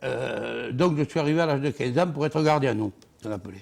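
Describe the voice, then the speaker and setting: The man talks at a fairly quick pace with a fairly high pitch. Vocal fry shows up, and his pitch variation is ordinary. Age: 60s. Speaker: former bull herdsman, bull-racing figure. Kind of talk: TV interview, personal anecdote. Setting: TV studio.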